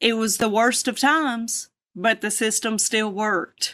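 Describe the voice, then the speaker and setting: This woman's voice is fairly high, with a bright, sharp tone and a moderate pace. The recording is very clean with a silent background. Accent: American. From US South. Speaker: singer, drummer and preacher. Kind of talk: testimony. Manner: animated. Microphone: crackling audio from technical issues.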